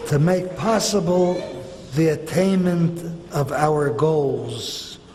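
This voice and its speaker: This man's voice is high in pitch with ordinary pitch variation. Noticeable background noise and audible room echo surround it. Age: 90s. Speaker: retired rabbi and school principal. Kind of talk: formal speech. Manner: formal.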